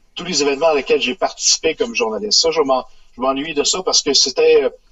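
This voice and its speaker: A man with a Quebec accent, fairly high pitch and lively intonation. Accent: Québécois French. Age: 60s. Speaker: retired sports journalist. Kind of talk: radio interview.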